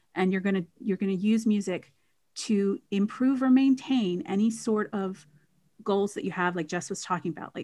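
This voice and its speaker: A woman with an American accent talks at a moderate pace and medium pitch in a plain, everyday voice. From United States. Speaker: music therapist and singer. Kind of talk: casual interview chat. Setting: online call.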